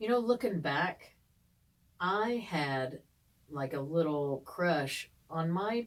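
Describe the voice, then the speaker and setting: A woman speaks in a fairly low voice with lively intonation. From eastern Kentucky, Ashland area. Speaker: podcast co-host. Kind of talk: casual chat.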